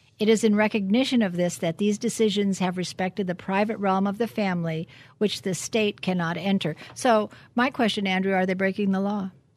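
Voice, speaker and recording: This is an ordinary speaking voice at a fairly quick pace. The background is quiet. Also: woman, medium pitch for a woman. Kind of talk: radio talk show discussion. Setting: studio.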